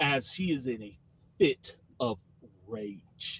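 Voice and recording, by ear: A text is being read out. The speaker sounds natural doing it.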